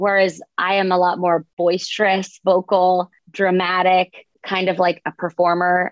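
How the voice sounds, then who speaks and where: The speaker has an American accent. The delivery is fairly slow, with monotone, flat intonation. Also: woman. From US South. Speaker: author. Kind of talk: interview.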